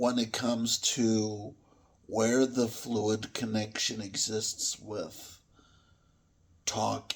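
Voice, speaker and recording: A man speaks at a medium pitch and a very slow pace. His intonation is monotone and flat. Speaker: food reviewer. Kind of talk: casual video review.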